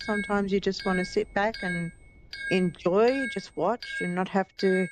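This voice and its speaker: There is noticeable background noise behind this woman's medium-pitched voice. She speaks at a fairly slow pace with an Australian accent. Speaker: gaming streamer. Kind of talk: live gameplay stream chat. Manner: chatty, upbeat.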